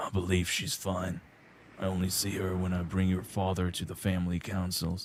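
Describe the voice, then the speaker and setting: This is a raspy, put-on character voice. It moves at a moderate pace with monotone, flat intonation. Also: man, very deep, low pitch for a man. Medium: game stream. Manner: courteous, calm, lightly teasing.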